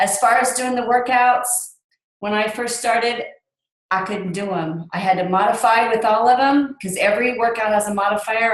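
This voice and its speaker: Heard with audible room echo, a woman speaks at a moderate pace with ordinary pitch variation. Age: 50s. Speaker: fitness coach. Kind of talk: casual testimony.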